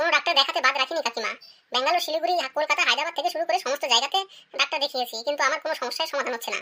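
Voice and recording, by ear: In a cartoonish character voice, a woman talks at a very fast pace with a high pitch and ordinary pitch variation.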